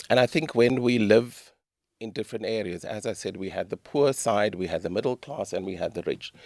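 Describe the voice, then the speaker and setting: A man with a South African accent at a medium pitch, a fairly quick pace and ordinary pitch variation, on a very clean recording with a silent background. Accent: South African, unchanged since childhood. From South Africa, Durban. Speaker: author. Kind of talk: interview.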